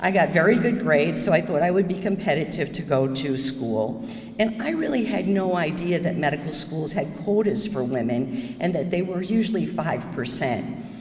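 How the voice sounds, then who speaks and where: A woman with a New York State accent speaks at fairly low pitch and a moderate pace, with very wide pitch swings and hardly any pauses. Audible room echo and noticeable background noise fill the recording. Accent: American (New York State). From upstate New York, US. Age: 70s. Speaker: surgeon. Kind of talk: talk to audience.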